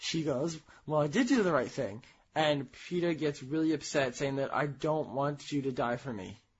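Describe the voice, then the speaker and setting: In an American accent, a man with a fairly high pitch and ordinary pitch variation talks at a moderate pace, sounding somewhat breathy. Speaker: podcast co-host. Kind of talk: casual chat.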